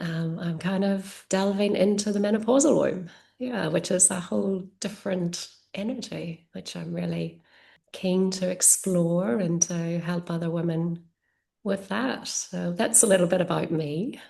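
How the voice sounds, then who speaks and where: With a dark, mellow tone and a somewhat breathy quality, this woman talks fairly slowly. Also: medium pitch for a woman, ordinary pitch variation. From Ireland. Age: 40s. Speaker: yoga teacher and energy healer. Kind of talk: casual interview chat.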